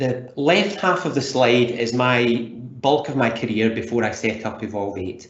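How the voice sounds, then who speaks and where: Noticeable background noise and audible room echo surround a man speaking at a medium pitch with a Scottish accent. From Scotland. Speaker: leadership coach. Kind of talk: webinar presentation. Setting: online webinar.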